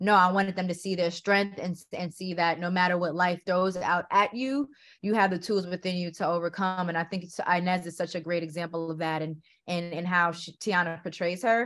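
A woman with an American accent speaks in a plain, everyday voice, fairly low in pitch, with fairly even intonation. The recording is very clean, with a silent background. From New York City. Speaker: film director. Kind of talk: interview.

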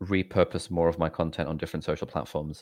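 The background stays quiet. A man is speaking, and his pitch varies in an ordinary way. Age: 20s. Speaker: doctor and YouTuber. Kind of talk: casual interview.

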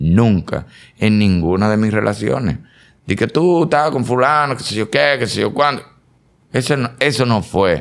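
Here a man with a medium pitch speaks at a fairly slow pace, his intonation lively. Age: 50s. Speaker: actor and comedian. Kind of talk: casual chat. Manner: animated.

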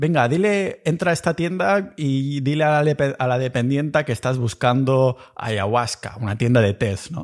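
In a Catalan accent, a man with medium pitch speaks at a fairly slow pace with lively intonation, captured in a very clean recording with a silent background. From Catalonia. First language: Catalan (speaking Spanish). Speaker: podcast host. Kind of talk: solo podcast monologue. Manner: casual, animated.

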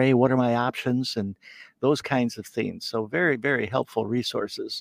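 A man with a plain, everyday voice speaks at a medium pitch and moderate pace, with fairly even intonation. The sound is dry and close with no echo, over a quiet background. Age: 60s. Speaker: financial planner. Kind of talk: interview walking through software reports.

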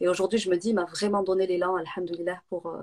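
A woman speaks at a fairly quick pace. Her medium-pitched voice is monotone and flat. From southern France (Nîmes). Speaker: entrepreneur and business coach. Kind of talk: interview on a live video stream.

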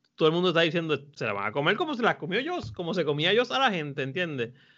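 A very fast, high-pitched male voice. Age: 40s. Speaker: film podcast panelist, teacher. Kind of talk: casual chat.

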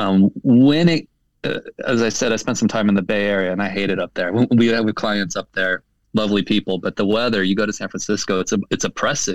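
Using a normal speaking voice, a man with a fairly low pitch talks at a fairly quick pace with ordinary pitch variation in a dry, close recording with no echo. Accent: American. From southern California. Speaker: advertising creative director. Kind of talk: interview.

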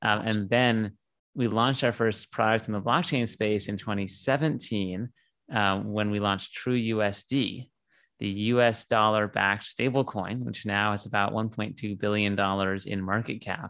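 In a normal speaking voice, a man with a fairly low pitch speaks at a fairly slow pace with fairly even intonation over a quiet background. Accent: General American. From US West Coast, San Diego. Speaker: tech company CEO. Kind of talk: interview.

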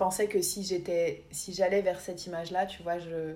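With a fairly low pitch and a dark, mellow tone, a woman speaks in a monotone, flat way. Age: 20s. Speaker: podcast co-host. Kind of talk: casual chat. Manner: hesitant, many fillers.

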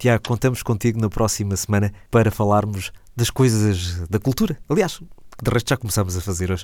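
An ordinary speaking voice moves at a fairly quick pace with hardly any pauses and ordinary pitch variation. The recording is very clean, with a silent background. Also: man, fairly low pitch for a man. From Portugal, Alentejo (Santiago do Cacém). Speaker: radio host. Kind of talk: casual chat.

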